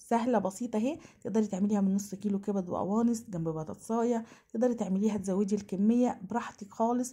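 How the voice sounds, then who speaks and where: Somewhat breathy and dark, mellow in tone, a woman talks at a fairly quick pace. Her pitch variation is ordinary. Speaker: cooking channel host. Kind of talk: cooking tutorial. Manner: fast; animated.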